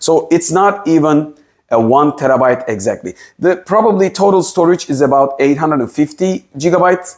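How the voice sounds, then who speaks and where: A man talks at a fairly slow pace with lively intonation against a quiet background. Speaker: tech reviewer. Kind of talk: tutorial. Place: home room. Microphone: lapel.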